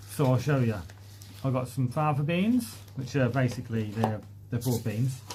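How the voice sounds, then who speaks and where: A man talks at a moderate pace with long, frequent pauses. His medium-pitched voice has fairly even intonation over noticeable background noise. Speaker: allotment gardening youtuber. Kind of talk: live stream chat reading comments. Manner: casual with frequent fillers.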